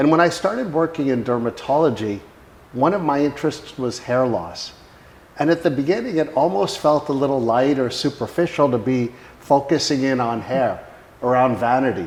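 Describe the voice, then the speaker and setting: With an unremarkable speaking voice, a man talks at a moderate pace, his pitch fairly high and its variation ordinary. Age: 60s. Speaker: company founder and healthcare executive. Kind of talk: product testimonial; casual conversation with spouse about their company.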